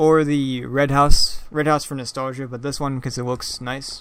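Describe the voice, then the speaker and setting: The man's intonation is monotone and flat. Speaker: gaming video creator. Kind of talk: game walkthrough commentary. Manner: halting, many fillers; casual.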